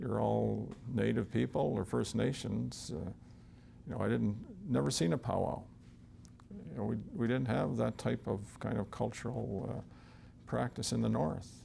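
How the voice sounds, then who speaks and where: A man with a very deep, low pitch and a dark, mellow tone talks at a moderate pace with vocal fry. His pitch swings very widely, and he leaves long, frequent pauses. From northern Saskatchewan, Canada, raised on a Cree reserve. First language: Cree. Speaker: retired police officer. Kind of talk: interview storytelling. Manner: hesitant, many fillers.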